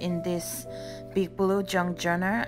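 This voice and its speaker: Music plays in the background as a woman speaks at a very slow pace. She has a non-native accent. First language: non-native English speaker. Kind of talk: craft flip-through voice-over.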